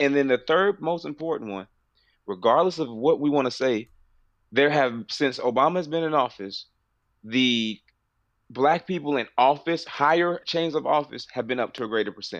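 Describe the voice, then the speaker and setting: A man with an ordinary speaking voice, fairly high pitch, ordinary pitch variation and a moderate pace against a quiet background. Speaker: podcast co-host. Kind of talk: casual chat.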